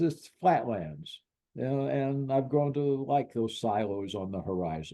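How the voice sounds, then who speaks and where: A man's medium-pitched voice with an American accent, a dark, mellow tone, lively intonation and a moderate pace. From Illinois. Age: 80s+. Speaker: sportswriter and author. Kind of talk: interview. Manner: halting, many repetitions.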